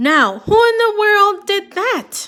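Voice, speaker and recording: Here a woman uses a put-on character voice. It is squeaky and pitched extremely high. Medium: read story.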